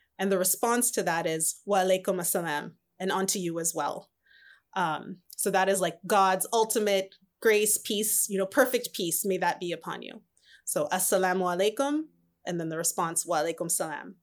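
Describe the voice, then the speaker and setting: A woman speaks in an American accent at medium pitch and a moderate pace. Her pitch varies in an ordinary way, on a very clean recording with a silent background. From Southern California. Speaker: spiritual coach and entrepreneur. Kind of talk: interview.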